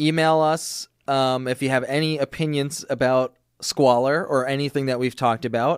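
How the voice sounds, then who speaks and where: With a dry, close sound and no echo, a man talks in an ordinary speaking voice at a fairly high pitch, keeping a moderate pace and very even loudness. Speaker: podcast co-host. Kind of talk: casual comedic banter. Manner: playful, joking.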